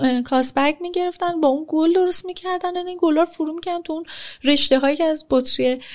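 A woman speaks at a fairly quick pace, her pitch varying in an ordinary way. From Iran, Tehran. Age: 30s. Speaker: chef and business owner. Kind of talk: casual interview.

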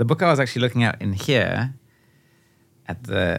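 With vocal fry and lively intonation, a man talks at a fairly quick pace in a fairly low voice. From Namibia, near South African border. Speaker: painter. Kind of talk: casual chat. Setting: studio.

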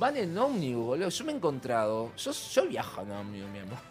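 A man's voice, moving at a moderate pace with very wide pitch swings, sits over noticeable background noise. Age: 50s. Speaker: costume designer and show producer. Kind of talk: radio interview. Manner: animated.

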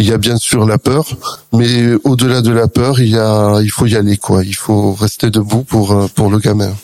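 Speaking at a fairly slow pace, this man keeps a medium pitch and a fairly even intonation. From southern France, Perpignan. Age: 50s. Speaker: author and charity president. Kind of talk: radio interview. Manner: hesitant, frequent fillers.

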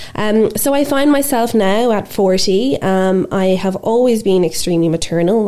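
Speaking at a moderate pace, a woman with an Irish accent uses lively intonation in a dark, mellow tone. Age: 40s. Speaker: podcast host and life coach. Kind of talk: casual interview chat. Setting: studio.

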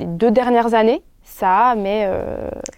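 Pitched fairly high, a woman has a normal speaking voice with ordinary pitch variation. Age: 20s. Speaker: illustrator and footwear designer. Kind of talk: casual chat.

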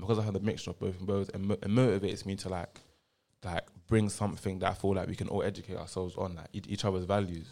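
Speaking very fast in a monotone, flat way, a man with a fairly low pitch and a dark, mellow tone is heard on a very clean recording with a silent background. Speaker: young former student, now university student. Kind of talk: casual podcast chat.

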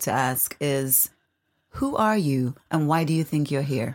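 Moderately paced woman's voice on a very clean recording with a silent background. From Nevis. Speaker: podcast host. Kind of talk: interview. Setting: studio.

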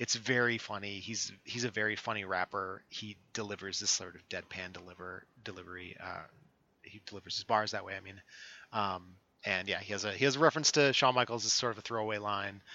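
A man with an American accent and an ordinary speaking voice talks fairly quickly at a fairly low pitch, with ordinary pitch variation and big swings in loudness. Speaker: podcast co-host. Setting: remote recording.

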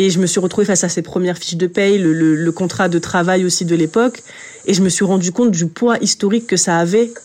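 The speaker moves at a fairly quick pace with very even loudness and fairly even intonation over noticeable background noise. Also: woman, medium pitch for a woman. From France, working-class suburb. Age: 20s. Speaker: journalist and author. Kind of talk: interview. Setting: recorded at an art school. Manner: halting, frequent repetitions.

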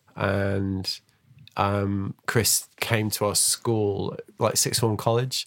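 Speaking with a Mancunian accent, a man keeps a fairly low pitch, monotone, flat intonation and very even loudness at a very slow pace. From Manchester, England. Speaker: podcast host and snowboard journalist. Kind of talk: casual interview chat. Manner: halting, many false starts.

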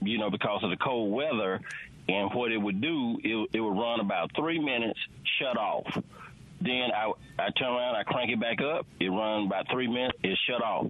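In a Southern US accent, a man talks at a fairly quick pace and medium pitch with ordinary pitch variation and very even loudness, amid noticeable background noise. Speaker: caller. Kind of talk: call-in question. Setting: phone call.

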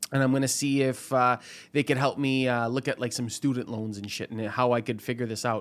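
In a very clean recording with a silent background, a man with an ordinary speaking voice talks at a fairly quick pace, his medium pitch carrying fairly even intonation. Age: 20s. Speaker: former comedian, paralegal student. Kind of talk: casual chat.

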